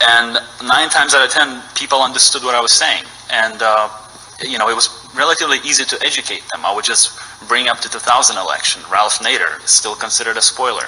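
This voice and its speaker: Over noticeable background noise, a man talks very fast with fairly even intonation. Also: medium pitch for a man. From Ukraine. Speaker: citizen testifying at legislative hearing. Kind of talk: public testimony. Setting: state house hearing room. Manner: halting, many fillers.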